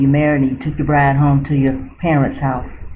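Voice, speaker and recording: Somewhat breathy and dark, mellow in tone, a woman's voice comes through with audible room echo. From central Florida. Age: 70s. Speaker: retired nurse. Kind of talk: oral history interview. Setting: library.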